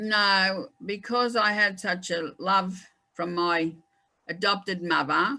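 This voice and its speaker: A woman at a medium pitch, very slow pace and ordinary pitch variation. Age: old. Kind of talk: interview about her life. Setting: online conversation.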